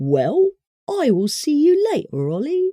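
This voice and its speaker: A put-on character voice, high in pitch, delivers its lines at a fairly slow pace. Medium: read story. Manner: playful, comic.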